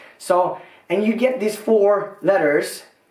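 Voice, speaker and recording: An animated tone with ordinary pitch variation, audible room echo and a quiet background. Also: man. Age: 30s. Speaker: YouTuber. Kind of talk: casual explainer video.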